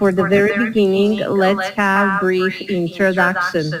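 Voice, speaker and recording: A woman talks at a medium pitch and a fairly slow pace. Audible room echo and noticeable background noise surround her. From Bosnia and Herzegovina. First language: Bosnian. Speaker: English teacher. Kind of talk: online English lesson.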